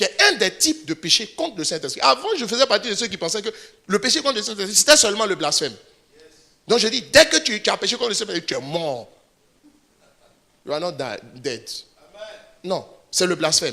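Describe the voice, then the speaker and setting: A man's raised, projected voice, high in pitch and bright and sharp in tone, with very wide pitch swings, a fairly quick pace and long, frequent pauses. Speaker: pastor. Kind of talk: sermon. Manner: fast; animated.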